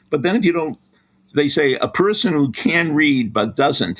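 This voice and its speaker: A man talks with an American accent and vocal fry. His pitch swings very widely. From Boston. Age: 70s. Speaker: sports psychology professor. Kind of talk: podcast interview.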